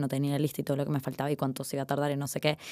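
On a very clean recording with a silent background, a woman speaks very fast in a very deep, low pitch. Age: 20s. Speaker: art student. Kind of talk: casual interview conversation.

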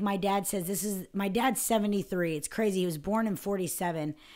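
In an American accent, a woman talks at medium pitch and a moderate pace, her tone dark and mellow with ordinary pitch variation. The recording is very clean, with a silent background. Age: 30s. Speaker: podcast host. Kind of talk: casual chat.

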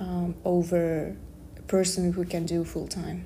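A woman speaks at a very slow pace in a fairly low pitch, with audible echo from the room. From Kazakhstan. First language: Kazakh or Russian. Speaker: podcast host, student. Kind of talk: casual chat.

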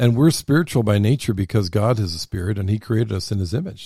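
A man's fairly low, somewhat breathy voice with a dark, mellow tone, lively intonation and a fairly quick pace, dry and close with no echo on a very clean recording with a silent background. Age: 60s. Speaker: podcast host. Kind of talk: casual chat. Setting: studio.

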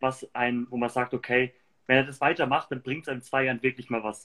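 A man at a medium pitch, with a Franconian accent. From Germany, Würzburg (Lower Franconia). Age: 20s. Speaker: entrepreneur. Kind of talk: casual interview. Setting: livestream.

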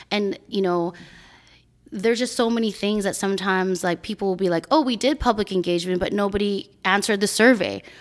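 Speaking at a fairly quick pace, a woman with a normal speaking voice keeps a medium pitch and ordinary pitch variation in a very clean recording with a silent background. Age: 40s. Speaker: community advocate and entrepreneur. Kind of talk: casual chat.

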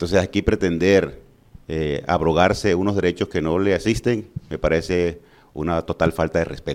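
A man's very deep, low voice moves at a moderate pace with fairly even intonation. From Colombia, Valledupar (Cesar). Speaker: physician and mayoral candidate. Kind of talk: political interview.

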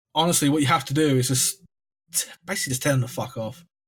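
A speaker with an English accent talks in a somewhat breathy voice with fairly even intonation. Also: man. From England. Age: 20s. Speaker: podcast guest sharing mental health story. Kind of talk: casual chat.

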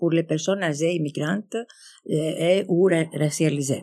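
The woman's voice has a dark, mellow tone. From Greece. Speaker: community organization representative. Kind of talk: live panel discussion before audience. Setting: stage with audience. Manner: halting.

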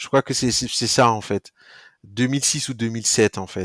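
The recording is very clean, with a silent background. Speech comes at a fairly slow pace with fairly even intonation. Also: man, dry, close sound with no echo. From Burkina Faso. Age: 30s. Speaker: startup founder. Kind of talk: casual interview. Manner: halting, frequent repetitions.

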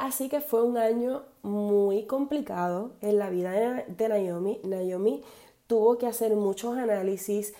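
At a very slow pace, a woman talks in a dark, mellow tone at a fairly high pitch with ordinary pitch variation. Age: 30s. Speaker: podcast host, entrepreneur. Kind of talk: casual monologue. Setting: home office.

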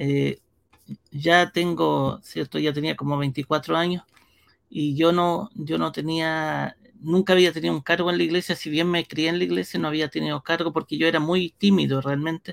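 Here is a normal speaking voice at a moderate pace. The sound is dry and close with no echo, in a very clean recording with a silent background. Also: man, fairly high pitch for a man. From Brazil (São Paulo), born in Chile. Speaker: pastor and church media director. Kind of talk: interview.

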